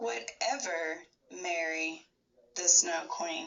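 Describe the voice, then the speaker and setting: Putting on a character voice, a woman speaks raspy and at a fairly low pitch with lively intonation. She goes at a very slow pace. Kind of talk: bedtime story reading. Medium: read story. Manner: steady, expressive.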